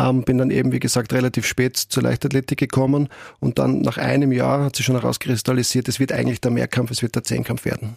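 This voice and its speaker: A man at a very fast pace, with a dry, close sound and no echo. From Austria, Graz. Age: 40s. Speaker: football club executive, former athlete. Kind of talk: interview. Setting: studio.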